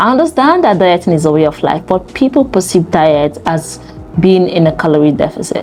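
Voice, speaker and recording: Speech moves at a moderate pace. Noticeable background noise can be heard. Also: woman. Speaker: fitness coach. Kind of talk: talking-head advice video.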